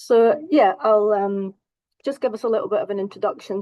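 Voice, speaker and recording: A woman speaks in a Scottish accent at a fairly quick pace. Her medium-pitched voice has a dark, mellow tone, with a dry, close sound and no echo. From Scotland. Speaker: counselling psychologist. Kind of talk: presentation.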